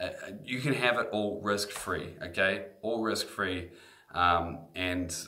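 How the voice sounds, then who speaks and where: A man speaks at a very slow pace with a fairly low pitch and a slight New Zealand accent. His pitch varies in an ordinary way, with audible room echo around him. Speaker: guitar teacher. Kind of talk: sales pitch. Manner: animated.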